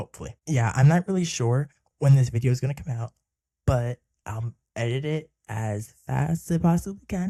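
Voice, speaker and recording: Quietly and at a moderate pace, a man with a medium pitch and a dark, mellow, somewhat breathy tone speaks with lively intonation in a dry, close sound with no echo. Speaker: YouTuber reviewing films. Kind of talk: casual vlog monologue. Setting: home recording at night.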